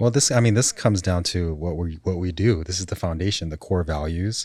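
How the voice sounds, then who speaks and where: In a very clean recording with a silent background, a man with a New York accent talks very fast at a very deep, low pitch. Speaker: relationship coach and podcast co-host. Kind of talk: casual chat.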